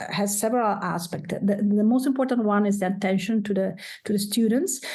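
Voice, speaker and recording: A woman with an Italian accent, medium in pitch, dark and mellow in tone, with audible room echo. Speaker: professor, degree program coordinator. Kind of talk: presentation. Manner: halting, many fillers.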